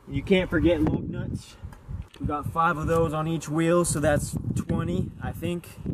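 Over noticeable background noise, a man talks at a fairly slow pace with fairly even intonation, the sound dry with no echo. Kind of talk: casual joking vlog walkaround. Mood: sarcastic, jokey. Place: street.

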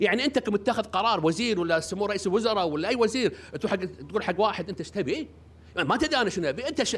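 A man's high, animated voice at a very fast pace, with lively intonation. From Kuwait. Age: 60s. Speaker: parliamentary candidate. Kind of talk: press statement. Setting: press conference. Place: hall. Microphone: podium.

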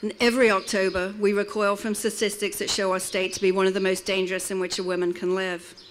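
Against light background noise, a woman talks very fast in a monotone, flat voice, hardly pausing. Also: medium pitch for a woman. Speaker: domestic violence advocate. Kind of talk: rally speech. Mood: earnest, somber. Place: open country. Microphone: podium.

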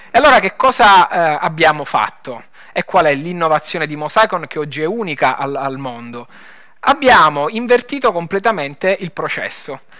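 With a Lombard accent, a man speaks at a high pitch for a man in a bright, sharp tone with very wide pitch swings. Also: moderate pace, quiet background. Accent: Bergamo. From northern Italy, Bergamo; Italy. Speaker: tech startup founder. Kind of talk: conference talk. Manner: hesitant, many fillers. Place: stage. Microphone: headset.

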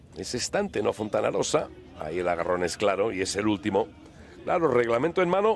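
Music in the background behind a man's fairly fast speech. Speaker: football commentator. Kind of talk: live football commentary. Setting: broadcast of a match. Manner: animated; excitable, rapid-fire.

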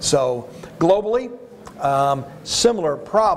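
An American accent from a man, with lively intonation over light background noise. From Arizona, US. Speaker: animal health and food safety expert; panelist. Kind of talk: panel discussion. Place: hall. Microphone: lapel.

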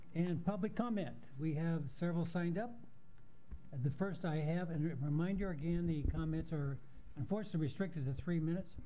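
Over light background noise, a man talks at a fairly quick pace in a high pitch. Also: ordinary pitch variation. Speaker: planning board chairman. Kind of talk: chairing a public meeting. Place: hall. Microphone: podium.

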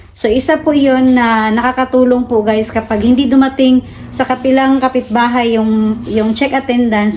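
There is light background noise behind a woman's voice. She speaks at a moderate pace with fairly even intonation. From Philippines. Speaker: vlogger. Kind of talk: casual vlog narration. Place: home room. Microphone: phone near.

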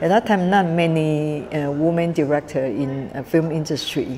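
Fairly slow speech in a Taiwanese accent, with ordinary pitch variation and light background noise. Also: woman. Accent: Taiwanese Mandarin-accented English. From Taiwan, Kaohsiung. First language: Mandarin. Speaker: film director and festival founder. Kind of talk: interview. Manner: halting, many fillers. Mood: warm, smiling.

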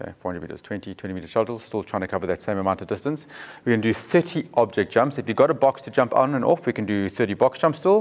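The pace is fairly quick as a man talks. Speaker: fitness coach. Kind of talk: tutorial. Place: gym.

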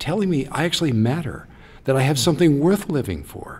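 A somewhat breathy man's voice at a moderate pace. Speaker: pastor guest in discussion. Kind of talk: interview answer. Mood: earnest, reflective. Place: studio. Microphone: studio mic.

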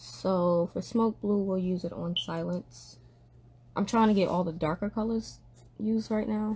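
A woman's somewhat breathy, dark, mellow tone at a fairly slow pace, with ordinary pitch variation over light background noise. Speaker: livestreamer leading a Bible study. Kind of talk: casual tutorial chat. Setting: indoors at a desk, live stream. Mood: relaxed, calm.

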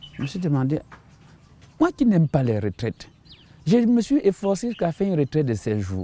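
Dry and free of echo, the clip has a man with a fairly high pitch and a dark, mellow tone swinging very widely in pitch, moving at a fairly quick pace between long, frequent pauses. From Cameroon (Bamenda, anglophone northwest); Cameroon. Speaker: missionary pastor. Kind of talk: testimony. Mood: earnest, reflective testimony. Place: garden. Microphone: lapel.

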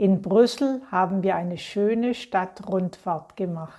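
A woman speaks at a very slow pace in a dark, mellow tone. Her pitch variation is ordinary. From Germany. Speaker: German teacher voicing a model presentation. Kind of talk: reading aloud. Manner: clear diction.

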